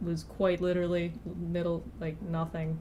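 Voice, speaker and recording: Her tone is dark and mellow, her pitch fairly low, and she speaks with an American accent. The woman's intonation is monotone and flat, with audible room echo around her. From rural Missouri, US Midwest. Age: 20s. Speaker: artist streamer. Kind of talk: casual live stream chat while drawing.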